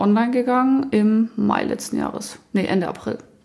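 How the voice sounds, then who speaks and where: The intonation is fairly even. Noticeable background noise runs under the voice. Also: woman. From southern Germany, Allgäu. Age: 20s. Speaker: company co-founder. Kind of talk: casual chat.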